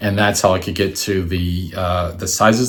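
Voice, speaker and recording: Over noticeable background noise, a man talks at a moderate pace with a very deep, low pitch. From Washington, D.C., US. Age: 60s. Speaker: artist and photographer. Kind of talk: presentation. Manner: halting, many fillers.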